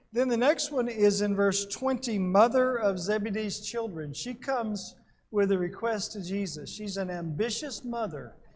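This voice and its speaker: There is audible room echo around a man with a high pitch. He speaks at a moderate pace with ordinary pitch variation. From Alabama. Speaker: Bible class teacher. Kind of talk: Bible class lecture.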